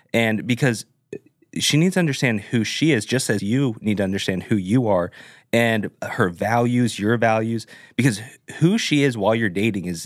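A normal speaking voice at a moderate pace, with ordinary pitch variation, on a very clean recording with a silent background. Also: man. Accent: American. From Southern California, Orange County. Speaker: pastor. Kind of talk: casual chat.

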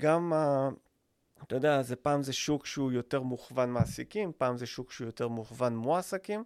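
A man uses a plain, everyday voice at a moderate pace. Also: medium pitch for a man, ordinary pitch variation, dry, close sound with no echo, very clean recording, silent background. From Israel, Rishon LeZion. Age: 40s. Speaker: podcast co-host, business owner. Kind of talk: casual chat.

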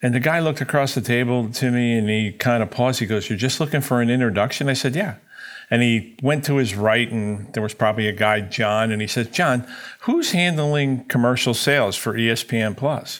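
This is a normal speaking voice with an American accent, moving at a fairly quick pace. Its loudness stays very even, and its pitch varies in an ordinary way. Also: man, medium pitch for a man. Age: 60s. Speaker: company president. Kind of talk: business interview.

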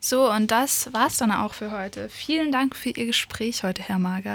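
Her fairly high voice moves at a moderate tempo, and the woman's pitch varies in an ordinary way. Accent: English. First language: English (speaking German). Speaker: radio host, cultural volunteer. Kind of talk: interview. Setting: radio studio.

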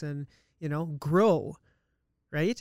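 A man with a Canadian accent, fairly high in pitch with ordinary pitch variation, on a very clean recording with a silent background. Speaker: accountant. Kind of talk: casual chat interview. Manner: fast talker, excitable.

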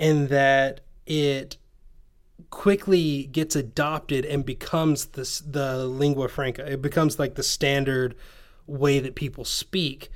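Fairly high in pitch, a man with a slight Southern US accent talks at a fairly slow pace with fairly even intonation. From Tennessee. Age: 20s. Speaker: podcast host. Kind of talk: casual conversation. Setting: video call.

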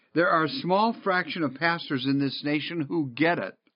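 Lively intonation and a high pitch mark this man's speech with an American accent. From Michigan, near Detroit. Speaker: pastor and church consultant. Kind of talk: narrated talk with sermon-style exhortation.

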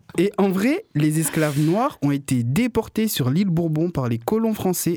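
With a slight Marseille accent, the voice moves at a moderate pace with lively intonation. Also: man, very even loudness. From Réunion. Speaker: radio columnist and comedian. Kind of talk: comic radio chronicle.

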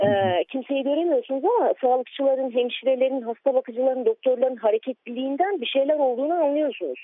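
Very fast and high-pitched, a woman talks with lively intonation at a very even loudness. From Istanbul, Diyarbakır family. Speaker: writer. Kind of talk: remembrance interview.

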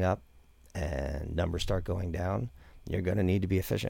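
Vocal fry and ordinary pitch variation come through on a very clean recording with a silent background. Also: man. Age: 50s. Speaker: cannabis breeder and grow consultant. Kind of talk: casual interview.

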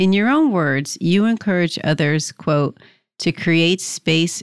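A woman speaks with an American accent. The recording is very clean with a silent background and a dry, close sound with no echo. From New Jersey. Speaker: podcast host, career coach. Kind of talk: interview.

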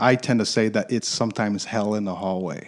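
A man with an American accent and an unremarkable speaking voice, medium in pitch, fairly even in intonation, at a moderate pace. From Michigan, US Midwest. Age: 40s. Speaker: business development executive. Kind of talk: interview.

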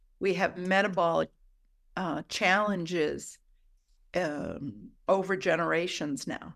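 A woman's fairly low-pitched voice with vocal fry and ordinary pitch variation, very slow with long, frequent pauses, in a very clean recording with a silent background. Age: 60s. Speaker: midwife. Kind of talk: interview.

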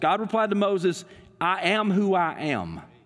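In a Southern US accent, a man speaks with a high pitch. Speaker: pastor. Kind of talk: sermon. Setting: church. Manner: halting, filler words.

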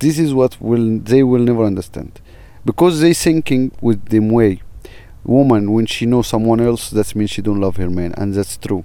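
In an Arabic accent, a man speaks at a moderate pace with a medium pitch, ordinary pitch variation and a dark, mellow tone. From Egypt. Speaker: filmmaker and tour guide. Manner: halting, searching for words.

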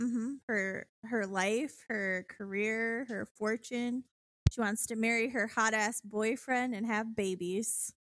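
A woman with a fairly high pitch and fairly even intonation speaks at a very slow pace in a very clean recording with a silent background. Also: dry, close sound with no echo. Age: 20s. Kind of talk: casual chat. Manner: laughs often.

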